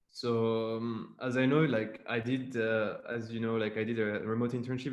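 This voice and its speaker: A man of medium pitch with a French accent speaks at a moderate pace. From Madagascar. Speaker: former remote intern. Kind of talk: webinar panel discussion.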